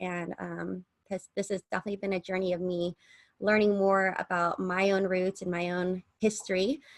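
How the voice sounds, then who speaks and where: Delivered in an American accent at a moderate pace, the monotone, flat intonation comes through with a dry, close sound and no echo. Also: woman. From US West Coast, San Diego. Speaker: podcast co-host. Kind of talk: casual chat.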